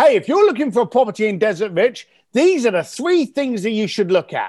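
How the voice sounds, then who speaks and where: This man speaks at an extremely high pitch with a London accent. His pitch swings very widely. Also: quiet background. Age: 50s. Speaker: author and entrepreneur. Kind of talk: podcast interview. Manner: animated.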